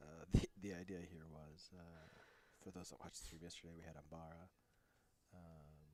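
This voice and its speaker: A man speaks in a very deep, low pitch with a dark, mellow tone. His intonation is monotone and flat at a moderate pace. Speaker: stream host. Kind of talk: live commentary. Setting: game store.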